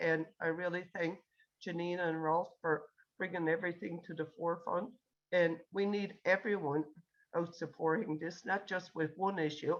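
A woman's unremarkable speaking voice, fairly low in pitch, with fairly even intonation at a moderate pace. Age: 60s. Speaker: retiree group newsletter volunteer. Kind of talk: town hall comment.

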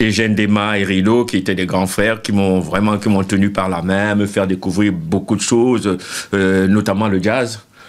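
With hardly any pauses, a man talks in a fairly low, monotone, flat voice at a very even loudness. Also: moderate pace. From Cameroon, Douala. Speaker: bassist. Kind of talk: interview. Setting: studio. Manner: halting. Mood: relaxed, reminiscing. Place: studio. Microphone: handheld.

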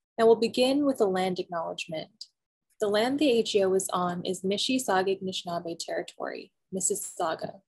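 Against a quiet background, a woman talks at a very fast pace in a somewhat breathy voice with ordinary pitch variation. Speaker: museum program host. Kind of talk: online program introduction. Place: home room. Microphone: webcam.

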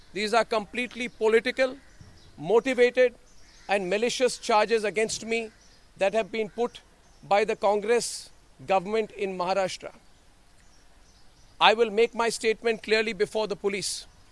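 A man with a high voice talks at a moderate pace with fairly even intonation, long, frequent pauses and a dry sound with no echo. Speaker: news anchor giving press statement. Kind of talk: press statement to reporters. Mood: firm, defiant. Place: street. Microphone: handheld.

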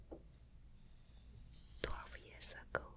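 A soft-spoken woman whispers over light background noise. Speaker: ASMR creator. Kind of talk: soft casual show-and-tell. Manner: soft close-mic ASMR whisper. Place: home room. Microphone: studio mic.

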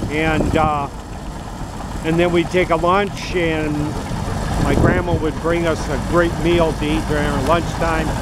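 Over loud background noise, a man with an American accent talks in a dry recording with no echo. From northeast Iowa, USA. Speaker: former farm boy recalling threshing. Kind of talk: unrehearsed interview answer. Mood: fond, nostalgic. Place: farm machine. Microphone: phone near.

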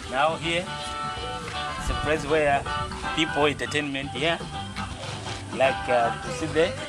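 The speech moves at a very slow pace. Clear music plays in the background. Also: man. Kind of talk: casual guided tour. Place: bar. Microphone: phone near.

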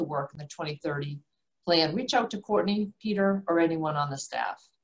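At a fairly quick pace, a woman with a normal speaking voice talks at a fairly low pitch with ordinary pitch variation. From South Shore, Massachusetts. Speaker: commercial banker. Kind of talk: prepared remarks.

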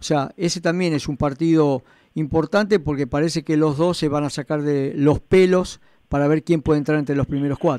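With a Rioplatense accent, a man speaks at a moderate pace in a dark, mellow tone, fairly high in pitch and fairly even in intonation, with a dry, echo-free sound and a quiet background. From Argentina. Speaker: radio host. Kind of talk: radio sports talk show. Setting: radio studio. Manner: hesitant, repeats words, conversational. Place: studio.

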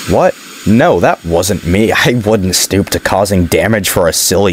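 Ordinary pitch variation in an unforced voice reading aloud

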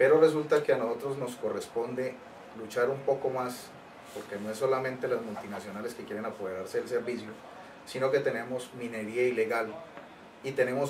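There is light background noise as a man speaks at a moderate pace with fairly even intonation. He has an unremarkable speaking voice. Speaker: trade union official. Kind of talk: interview. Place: office. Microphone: camera far.

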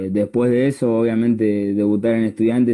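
The background is quiet as a man speaks in a dark, mellow tone. His intonation stays monotone and flat. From Argentina, La Plata; Argentina. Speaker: youth football player; interviewee. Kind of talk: casual chat. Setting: Instagram live video call. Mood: calm, grateful. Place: home room. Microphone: earbuds.

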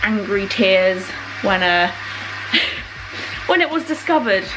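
At a moderate pace, a woman talks over noticeable background noise. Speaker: vlogger. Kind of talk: casual vlog chat. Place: kitchen. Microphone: phone near.

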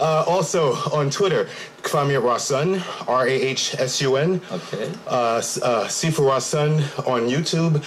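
With a New York accent, a man speaks at a very slow pace and a fairly high pitch over light background noise. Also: ordinary pitch variation. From Brooklyn, New York. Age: 40s. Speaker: martial arts instructor. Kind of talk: interview. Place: studio. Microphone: studio mic.

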